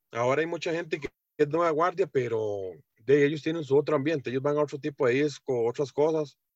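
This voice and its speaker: A man speaks in a normal speaking voice, fairly high in pitch. His pace is fairly quick, with ordinary pitch variation. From Costa Rica, Heredia. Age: 30s. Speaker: swing dancer and truck driver. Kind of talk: interview. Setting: video call.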